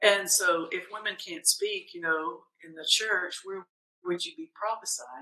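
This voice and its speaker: A woman with an unremarkable speaking voice talks at a fairly slow pace in a medium pitch, with big swings in loudness. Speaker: pastor and podcast host. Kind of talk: interview about faith.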